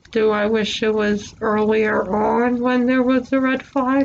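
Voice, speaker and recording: Against noticeable background noise, a woman talks at a fairly slow pace with hardly any pauses, her fairly high voice holding a monotone, flat intonation and very even loudness. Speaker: vlogger. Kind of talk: personal testimony vlog. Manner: rambling, filler-heavy casual speech.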